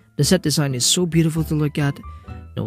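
Over music in the background, a man with a non-native accent speaks at a very fast pace. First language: not English. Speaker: film reviewer. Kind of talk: casual film review talk.

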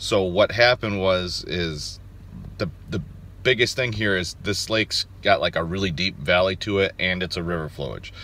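A man at a moderate pace, dry sound with no echo. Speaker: outdoors vlogger. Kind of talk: casual vlog chat. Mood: upbeat, hopeful. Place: car. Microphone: phone near.

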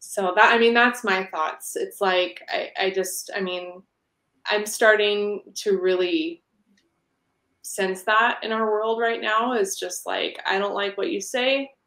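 In a room with audible echo, a woman speaks very slowly in a fairly high, bright, sharp voice with ordinary pitch variation. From Portland, US, then Canada from age 10. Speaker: dancer and dance teacher; dance teacher. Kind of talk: casual interview chat. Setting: live stream. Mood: earnest, reflective. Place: home room.

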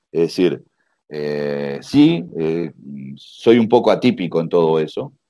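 A man speaks at a very slow pace in a very deep, low pitch. His tone is dark and mellow, with ordinary pitch variation. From Uruguay. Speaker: karate master. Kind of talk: interview.

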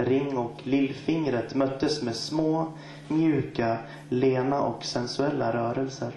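A man speaks at a very slow pace with fairly even intonation. There is audible room echo and light background noise. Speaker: guest poet. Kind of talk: poetry slam performance, spoken word poetry. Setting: stage with audience. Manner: rhythmic, wordplay-heavy delivery with repeated phrases and deliberate pauses. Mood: soft, sensual, intimate. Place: stage.

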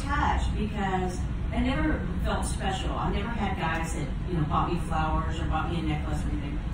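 A woman at a moderate pace, with audible room echo and loud background noise. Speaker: storyteller on a cruise event. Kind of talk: personal storytelling to an audience. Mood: warm, emotional reminiscing. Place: stage.

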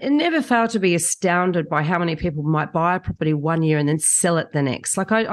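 A woman speaks in a normal speaking voice, fairly low in pitch. Her intonation is lively. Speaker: guest. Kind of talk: interview answer. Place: home room. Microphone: studio mic.

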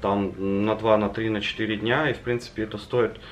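There is light background noise behind a man's voice. His pitch varies in an ordinary way. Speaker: travel vlogger. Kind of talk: casual vlog chat. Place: home room. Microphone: camera far.

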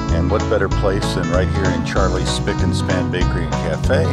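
Loud music plays in the background as a man speaks at a moderate pace in a dry sound with no echo. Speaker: songwriter vlogger. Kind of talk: casual vlog chat. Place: street. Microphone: phone near.

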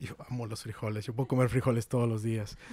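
A man with a slight northern Mexican accent, a dark, mellow, somewhat breathy tone, flat monotone intonation and a dry sound with no echo. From Mexico, Guadalupe, Nuevo León; Nuevo León, Mexico. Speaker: nonprofit outreach manager; podcast guest. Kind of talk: casual interview. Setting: in person, Monterrey. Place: home room. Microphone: handheld.

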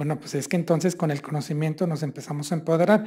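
Against a quiet background, a man's high-pitched voice carries a dark, mellow tone. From Mexico, Hidalgo (Mineral de la Reforma); Hidalgo, Mexico. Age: 50s. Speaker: state tourism official; speaker. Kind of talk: lecture. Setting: university seminar. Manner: conversational with frequent fillers. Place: hall. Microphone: podium.

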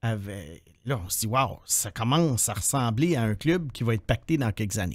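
With lively intonation and a fairly slow pace, a man speaks against a quiet background in a dry sound with no echo. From Quebec. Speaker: hockey prospects analyst, podcast co-host. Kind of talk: casual chat. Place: studio. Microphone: studio mic.

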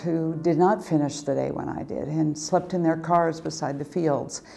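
A woman with an American accent, a fairly low pitch and fairly even intonation at a moderate pace, over light background noise. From rural Oregon. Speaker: community foundation president. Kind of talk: interview testimony. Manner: hesitant, with fillers. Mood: warm, reflective. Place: home room.

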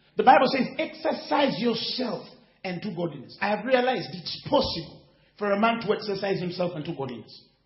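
Music plays behind a man talking at a fairly quick pace. Audible room echo surrounds his voice. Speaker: preacher. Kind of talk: sermon. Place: hall.

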